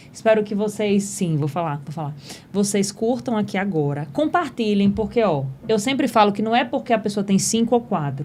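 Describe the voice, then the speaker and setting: Here a woman is speaking. Her pitch sits at a medium level. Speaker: podcast host. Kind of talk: casual chat. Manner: fast.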